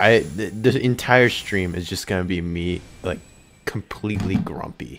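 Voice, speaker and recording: A man speaks at a fairly slow pace, his fairly low voice moving with ordinary pitch variation. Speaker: gaming streamer. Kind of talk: casual gameplay commentary.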